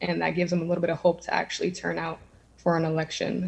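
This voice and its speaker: With an American accent, a woman speaks in a fairly low-pitched, somewhat breathy voice. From Erie, Pennsylvania, Lower East Side. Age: 20s. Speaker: community organizer and city council candidate. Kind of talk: candidate forum answers.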